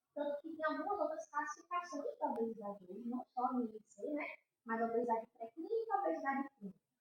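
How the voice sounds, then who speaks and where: At a very fast pace, a woman speaks with a high pitch and very wide pitch swings. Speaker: endocrinologist. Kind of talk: podcast interview.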